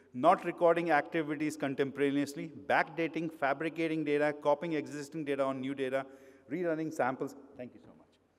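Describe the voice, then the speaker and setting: In an Indian accent, the voice runs at a fairly quick pace with monotone, flat intonation and big swings in loudness. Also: man, fairly high pitch for a man. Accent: Indian accent, retained. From India, grew up in Mumbai. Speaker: pharmaceutical quality consultant, conference speaker. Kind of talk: conference talk. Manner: hesitant, with frequent fillers.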